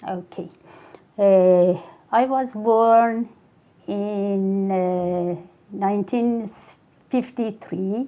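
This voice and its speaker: A woman speaks very slowly with a Persian accent and a dark, mellow tone. Her speech has long, frequent pauses. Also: medium pitch for a woman, fairly even intonation. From Iran, Mashhad. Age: 70s. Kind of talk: interview. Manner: hesitant.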